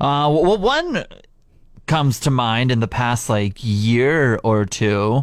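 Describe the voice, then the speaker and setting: On a very clean recording with a silent background, a man talks very slowly at medium pitch, with very even loudness and ordinary pitch variation. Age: 30s. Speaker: radio host. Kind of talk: casual chat. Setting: studio. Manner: animated.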